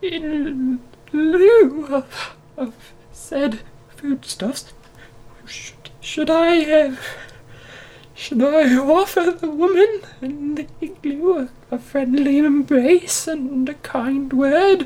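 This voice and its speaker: Someone performs a put-on character voice at a high pitch, moving at a very slow pace with long, frequent pauses. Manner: polite, timid, earnest.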